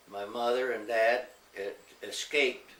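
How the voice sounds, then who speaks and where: A man talks fairly slowly, and there is noticeable noise in the background. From US Midwest (Ohio, Michigan), Mexican family. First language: Spanish. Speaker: family elder telling his life story. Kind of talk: oral history interview.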